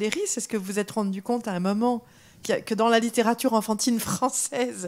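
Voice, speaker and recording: In a very clean recording with a silent background, a woman talks at a fairly quick pace with a fairly high pitch. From France. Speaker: audience member. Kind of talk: audience question. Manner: halting, many fillers.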